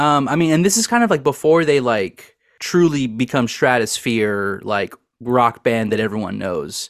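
The intonation is lively and the pace moderate. It is an ordinary speaking voice. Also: man, medium pitch for a man. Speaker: podcast host. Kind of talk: casual chat.

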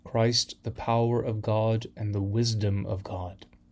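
The speech moves at a fairly slow pace. The voice is somewhat breathy. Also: man. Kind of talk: liturgical reading of scripture lessons and prayers, solemn and measured. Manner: formal, slow, reverent, steady cadence.

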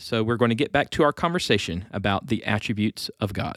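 A normal speaking voice with lively intonation, recorded in a dry, close sound with no echo. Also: man. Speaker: podcast host. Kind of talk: casual chat. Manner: joking, playful.

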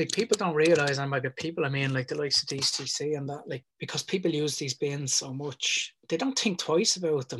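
With a Dublin accent, a man talks at a fairly quick pace with hardly any pauses, his fairly high pitch showing ordinary variation in a dry, close sound with no echo. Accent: Dublin Irish. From Ireland (Dublin area). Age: 40s. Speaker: mural artist. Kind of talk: casual chat.

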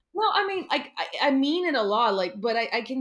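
A woman speaks with a Portuguese accent at a moderate pace. Her pitch is high. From Brazil, near São Paulo. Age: 30s. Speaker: artist and graduate student. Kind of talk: casual chat.

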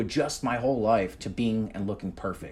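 A man with a New Jersey accent, medium in pitch, at a moderate pace. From New Jersey, US (Union, central north Jersey). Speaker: comedian and impressionist. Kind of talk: casual chat.

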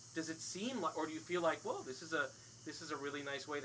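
Bright and sharp in tone, a man with an American accent talks at a very fast pace in a fairly high pitch. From overseas; later Summit, New Jersey. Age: 40s. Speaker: podcast host and stage actor. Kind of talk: casual chat. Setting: screen porch. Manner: hesitant, many fillers.

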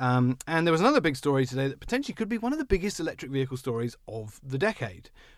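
Speech rushes along at a very fast clip with hardly any pauses, its pitch swinging very widely up and down. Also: man, fairly high pitch for a man, very clean recording, silent background. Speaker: car podcast host. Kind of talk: casual chat. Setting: studio. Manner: joking, self-deprecating.

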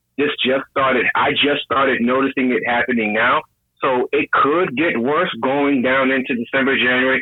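With an American accent, a man talks in a normal speaking voice at a moderate pace, medium pitch and fairly even intonation. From New York. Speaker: caller, business owner. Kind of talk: casual call-in chat.

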